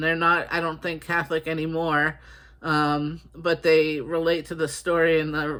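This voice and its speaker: With a slight Boston accent, a man speaks at a moderate pace in a fairly high pitch. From Boston, US. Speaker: writer and artist. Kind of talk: casual monologue. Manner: halting, many fillers.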